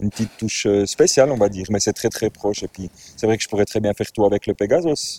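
A man's dark, mellow tone sits at a fairly low pitch with ordinary pitch variation, in a dry, close sound with no echo. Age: 40s. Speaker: DJ and music composer. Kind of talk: casual interview.

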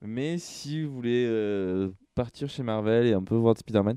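A man with a normal speaking voice, medium pitch, ordinary pitch variation and a fairly slow pace. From southern France (Sète). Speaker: comics podcast co-host. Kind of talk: casual chat.

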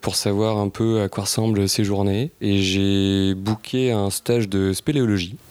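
A man talks at a very slow pace. His pitch is fairly low. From Paris. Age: 30s. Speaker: sustainability consultant. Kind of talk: casual interview.

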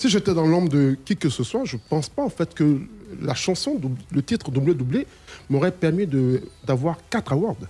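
A man with a fairly high pitch and a dark, mellow tone uses lively intonation. He leaves long, frequent pauses. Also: moderate pace. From Ivory Coast. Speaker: singer. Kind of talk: radio interview.

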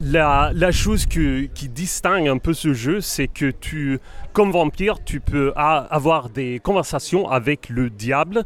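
With music in the background, a man with a Swedish accent speaks very slowly in a fairly high voice with ordinary pitch variation. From Sweden, Gothenburg. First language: Swedish (speaking French). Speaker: game designer. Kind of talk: interview. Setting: convention floor. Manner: halting.

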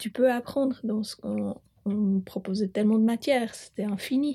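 A woman speaks fairly slowly in a dark, mellow tone. Her pitch is fairly high, with ordinary variation. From Switzerland, Bern (Bümpliz). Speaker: farmer. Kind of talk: interview.

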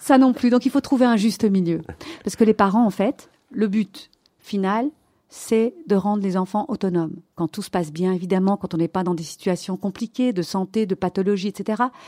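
In a very clean recording with a silent background and a dry, close sound with no echo, a woman speaks at a moderate pace in a medium pitch, her tone dark and mellow, with ordinary pitch variation. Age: 50s. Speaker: pediatrician. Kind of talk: interview. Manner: animated.

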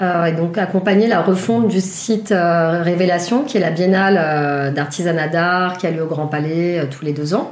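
Background noise is noticeable as a woman speaks at a fairly slow pace with hardly any pauses. Her pitch variation is ordinary. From Paris, France. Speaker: communications project manager. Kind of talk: interview. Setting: guest's apartment.

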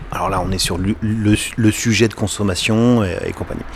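There is noticeable background noise. The intonation is lively. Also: man. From western France, Les Sables-d'Olonne (Vendée). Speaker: cinema owner. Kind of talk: interview. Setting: cinema lobby, doors open. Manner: halting, unfinished sentences.

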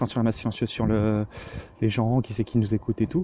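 At a very fast pace, a man talks at medium pitch. His tone is dark, mellow and somewhat breathy. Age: 20s. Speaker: podcast co-host. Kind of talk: recorded audio monologue.

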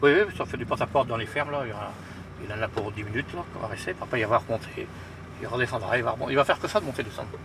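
Over noticeable background noise, the words come very fast with ordinary pitch variation. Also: man, medium pitch for a man. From rural western France. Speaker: garbage truck driver. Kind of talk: casual chat.

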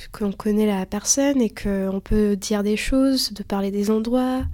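A woman talks fairly slowly in an ordinary speaking voice, her pitch fairly high and her intonation fairly even. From Lithuania, raised mostly in France. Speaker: student. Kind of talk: casual interview.

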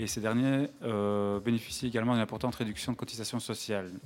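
A man rushes along at a very fast pace, his medium-pitched voice holding fairly even intonation. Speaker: event organiser hosting radio. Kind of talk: live radio hosting. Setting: live broadcast inside a sculpture at a museum. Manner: hesitant. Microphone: echo.

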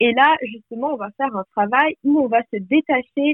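A woman uses a plain, everyday voice with ordinary pitch variation at a fairly slow pace. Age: 20s. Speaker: life coach. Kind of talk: podcast interview.

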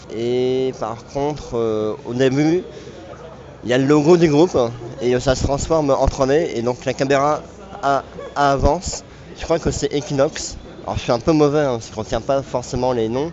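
The pace is moderate and the intonation fairly even, broken by long, frequent pauses. Background noise is noticeable. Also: man. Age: 20s. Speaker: graphic designer and retro gaming organizer. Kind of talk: interview.

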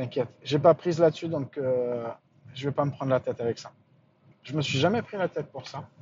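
A somewhat breathy man's voice, fairly high in pitch, with ordinary pitch variation, big swings in loudness, and long, frequent pauses. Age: 40s. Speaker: podcaster. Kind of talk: casual monologue. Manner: halting.

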